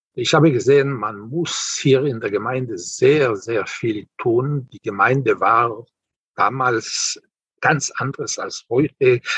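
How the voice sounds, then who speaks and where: Very slowly, a man speaks in a dry, close sound with no echo. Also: medium pitch for a man, ordinary pitch variation. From Israel. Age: 70s. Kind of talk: interview.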